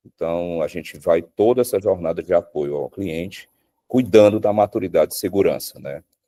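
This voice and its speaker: Over a dry, close sound with no echo, a man talks at a moderate pace with big swings in loudness. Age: 40s. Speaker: security company sales director. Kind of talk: interview conversation.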